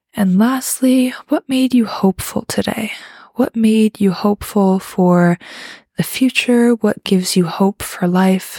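A woman with a normal speaking voice talks fairly slowly at a fairly high pitch, with ordinary pitch variation and very even loudness. The recording is very clean, with a silent background. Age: young. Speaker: podcast host. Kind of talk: casual solo monologue.

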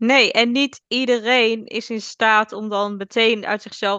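Over a quiet background, a woman speaks slowly-ish with fairly even intonation and a bright, sharp tone, the sound dry and close with no echo. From Netherlands, South Holland (Alphen aan de Rijn). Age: 20s. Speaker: orthomolecular adviser and entrepreneur. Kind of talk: casual interview chat.

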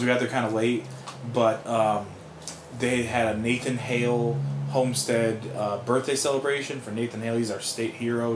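Room echo and noticeable background noise can be heard as a man speaks. His pitch is medium, his pace fairly quick, and his intonation fairly even. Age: 30s. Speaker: podcast co-host. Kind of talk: casual chat.

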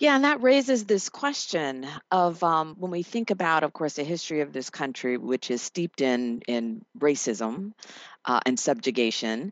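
A woman with a very deep, low pitch speaks at a moderate pace, her pitch swinging very widely. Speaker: radio co-host, law professor. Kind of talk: interview. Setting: studio.

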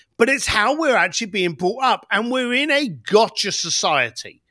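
Raising and projecting his voice, a man speaks at a moderate pace with a bright, sharp tone and very wide pitch swings on a very clean recording with a silent background. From East End of London. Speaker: entrepreneur and author. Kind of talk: podcast interview. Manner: animated.

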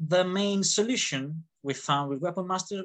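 The speaker has an Italian accent and a fairly slow pace. The background is quiet. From Italy. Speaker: fencing instructor and gauntlet designer. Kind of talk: interview. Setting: video call. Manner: animated.

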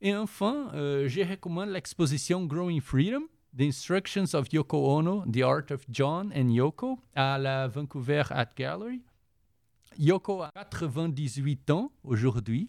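A man with a Portuguese accent, very slow pace and lively intonation, in a very clean, dry, close recording with a silent background and no echo. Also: fairly high pitch for a man. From Brazil. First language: Portuguese (speaking French). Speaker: volunteer culture columnist. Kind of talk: cultural recommendations segment.

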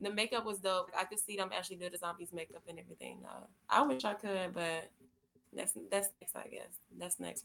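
Speaking at a fairly quick pace with an American accent, a woman at medium pitch has a bright, sharp tone, vocal fry, ordinary pitch variation and big swings in loudness. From Florida. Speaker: model. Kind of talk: interview. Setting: remote call.

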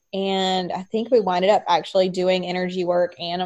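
The speaker is a woman at a moderate pace. Her intonation is monotone and flat. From US South, North Carolina. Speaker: podcast co-host, psychic medium. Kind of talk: casual chat.

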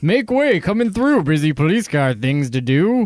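A man does a cheerful put-on character voice at a high pitch with very wide pitch swings. He keeps a moderate pace over light background noise. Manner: cheerful, singsong.

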